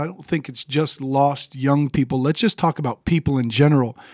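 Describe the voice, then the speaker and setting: A man talks at a moderate pace in a fairly high pitch. It is a plain, everyday voice, with a dry, close sound and no echo. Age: 30s. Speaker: podcast co-host, ministry. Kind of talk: casual chat, faith discussion.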